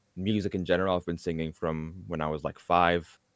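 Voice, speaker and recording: Fairly quick and fairly even in intonation, the speech comes with an Arabic accent. The sound is dry and close, with no echo. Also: man. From Egypt, Alexandria. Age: 20s. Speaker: a cappella singer. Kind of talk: interview.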